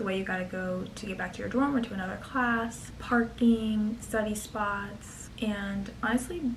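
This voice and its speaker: Quiet and fairly even in intonation, a woman with a fairly high pitch talks at a moderate pace with hardly any pauses, amid noticeable background noise and audible room echo. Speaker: college student vlogger. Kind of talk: casual advice vlog.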